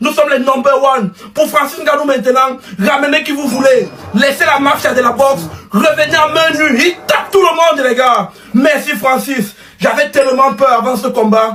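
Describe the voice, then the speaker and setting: Over noticeable background noise, a man with an extremely high pitch speaks in a raised, projected voice at a moderate pace with ordinary pitch variation. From Cameroon. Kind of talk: fan reaction video.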